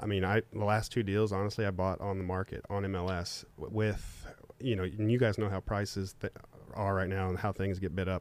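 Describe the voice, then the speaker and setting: A man talks at a fairly quick pace in a fairly low pitch. His intonation is monotone and flat, on a very clean recording with a silent background. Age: 30s. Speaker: real estate investor. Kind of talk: casual chat.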